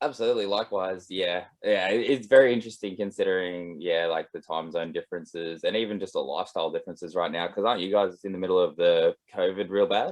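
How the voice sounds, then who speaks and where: Speaking very fast with an Australian accent, a man uses a fairly low pitch and ordinary pitch variation. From Australia, east coast. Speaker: musician and composer. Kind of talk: casual video call chat. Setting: video call.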